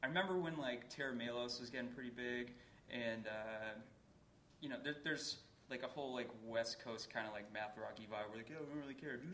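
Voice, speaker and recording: Noticeable background noise runs under fairly quick speech with an American accent. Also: man, medium pitch for a man, ordinary pitch variation. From Boston area. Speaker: indie record label owner. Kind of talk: live panel discussion. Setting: stage with audience.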